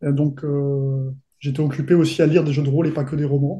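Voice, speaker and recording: A dark, mellow tone marks this voice. It comes across somewhat breathy. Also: man. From southern France, Côte d'Azur. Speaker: fantasy novelist and role-playing game designer. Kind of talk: interview.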